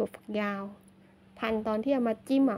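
A woman speaks over light background noise. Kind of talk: casual vlog chat. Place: garden. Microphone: phone near.

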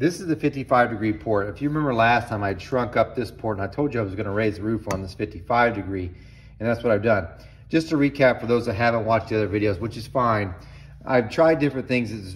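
A man speaks at a very fast pace. His voice is somewhat breathy, with ordinary pitch variation. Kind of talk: casual tutorial chat. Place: workshop. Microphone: phone near.

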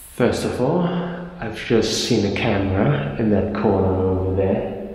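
A man at a fairly slow pace with ordinary pitch variation, in strong room echo with light background noise. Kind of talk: casual vlog commentary. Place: office.

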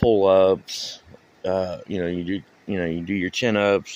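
Here a man talks at a very slow pace with a fairly low pitch. The sound is dry, with no echo. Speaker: local vlogger. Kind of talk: casual vlog chat. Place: waterside. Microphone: phone near.

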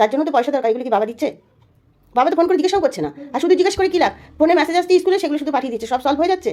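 Lively intonation marks this woman's high-pitched voice. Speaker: vlogger, grandmother. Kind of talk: family argument vlog.

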